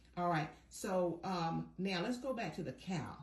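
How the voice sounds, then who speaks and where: Over noticeable background noise, a woman with a fairly low pitch and ordinary pitch variation speaks at a moderate pace. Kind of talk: interviewer, casual.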